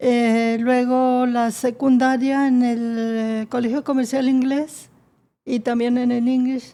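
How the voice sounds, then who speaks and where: Delivery comes at a very slow pace with monotone, flat intonation. The tone is dark and mellow. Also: woman, high pitch for a woman. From northern Mexico, Monterrey area (Nuevo León). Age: 80s+. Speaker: founder of a patient association, mother. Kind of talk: interview testimony.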